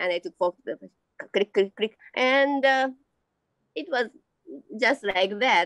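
In a dry recording with no echo, a woman with a Japanese accent speaks in a high voice with lively intonation and long, frequent pauses. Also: quiet background. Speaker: amateur painter and teacher. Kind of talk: interview. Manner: halting. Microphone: video call.

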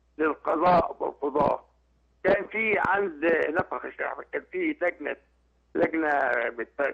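With a high pitch, a man speaks at a very slow pace. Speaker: caller. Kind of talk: call-in comment. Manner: halting.

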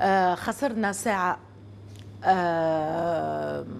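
A woman speaks in a Tunisian accent with lively intonation. Light background noise can be heard. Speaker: guest. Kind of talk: casual interview. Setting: studio with audience. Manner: hesitant, with fillers. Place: studio.

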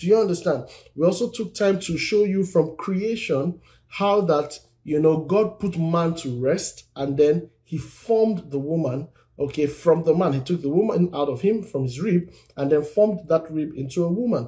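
A man with a high pitch and a dark, mellow tone, at a moderate pace over a quiet background. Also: ordinary pitch variation. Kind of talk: sermon-style live teaching.

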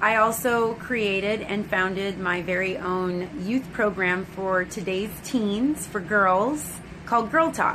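With an American accent, a woman of medium pitch and ordinary pitch variation speaks at a very slow pace over noticeable background noise. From California. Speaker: actress and former beauty queen; actress. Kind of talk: casual vlog-style talk to camera. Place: home room. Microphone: phone near.

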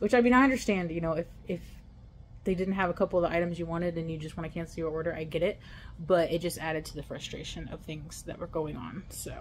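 A woman talks at a very fast pace in a fairly low voice with ordinary pitch variation. Her loudness swings widely, and there is light background noise. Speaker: delivery driver vlogger. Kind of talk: casual vlog chat. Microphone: phone near.

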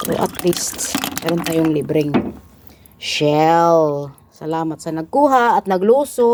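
A woman's fairly slow, lively-toned speech over noticeable background noise. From Philippines. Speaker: vlogger. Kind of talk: casual vlog narration.

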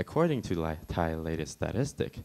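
This man speaks at a moderate pace. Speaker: presenter. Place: hall. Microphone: handheld.

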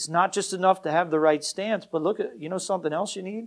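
Recorded very cleanly against a silent background, a man speaks at a fairly quick pace in a high pitch with ordinary variation. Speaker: pastor. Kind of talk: Baptist sermon, exhortational point-by-point preaching with repeated refrains. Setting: church. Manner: emphatic, driving repetition of short commands; conversational with frequent fillers and self-corrections.

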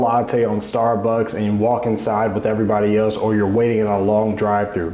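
There is audible room echo around this man's voice. He speaks at a fairly quick pace with a fairly low pitch. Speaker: investing youtuber. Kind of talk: casual explainer vlog. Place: home room. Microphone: lapel.

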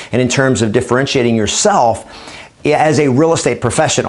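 A man with lively intonation. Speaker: real estate trainer and coach. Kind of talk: training talk to camera. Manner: upbeat, energetic. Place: studio. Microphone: lapel.

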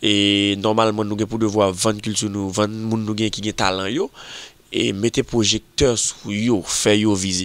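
This man has a normal speaking voice. His pitch is fairly low and his intonation fairly even. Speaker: magazine show presenter. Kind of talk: video magazine presentation.

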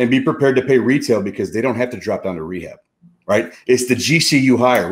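This is a man speaking. His pace is fairly quick. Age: 30s. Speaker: real estate investor and contractor; contractor. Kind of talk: online event interview. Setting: online video event. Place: home room. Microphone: studio mic.

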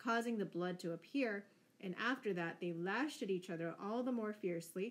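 The pitch variation is ordinary in this unforced reading voice.

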